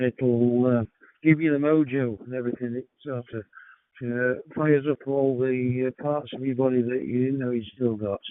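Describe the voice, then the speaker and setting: A man with a British accent, medium pitch, monotone, flat intonation and a moderate pace. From United Kingdom. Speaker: amateur radio operator. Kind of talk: radio net check-in. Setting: radio transmission. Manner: halting, many fillers.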